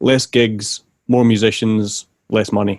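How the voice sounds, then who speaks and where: A man speaks in a Glaswegian accent at a fairly low pitch with fairly even intonation. The sound is dry and close, with no echo. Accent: Glaswegian Scottish. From Scotland, Glasgow. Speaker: bass teacher, podcast host. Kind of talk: interview.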